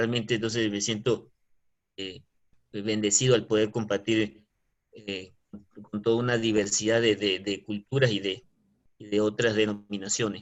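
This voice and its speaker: A man speaks at a fairly low pitch in monotone, flat intonation, with long, frequent pauses. His loudness shows big swings. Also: moderate pace. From Venezuela. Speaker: online Bible class student. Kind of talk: self-introduction in online class.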